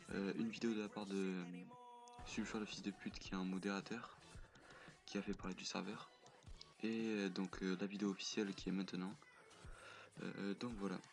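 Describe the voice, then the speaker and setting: A soft-spoken man's fairly low voice in a monotone, flat intonation, at a moderate pace with long, frequent pauses, and music in the background. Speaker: gaming youtuber, server founder. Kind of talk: casual gameplay commentary. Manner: halting, many fillers.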